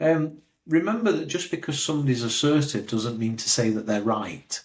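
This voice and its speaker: With an ordinary speaking voice, a man talks at a moderate pace in a fairly high pitch and lively intonation. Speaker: career coach. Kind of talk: interview.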